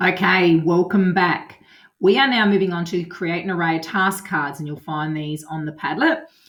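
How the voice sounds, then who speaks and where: A woman speaks with a normal speaking voice, fairly low in pitch. Her pace is moderate and her intonation fairly even. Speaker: primary school teacher. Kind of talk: tutorial.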